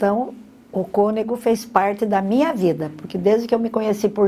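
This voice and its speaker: Over noticeable background noise, a woman talks in a fairly high pitch. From Brazil, Monte Mor, São Paulo state. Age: 80s+. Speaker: local resident interviewee. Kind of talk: interview testimony.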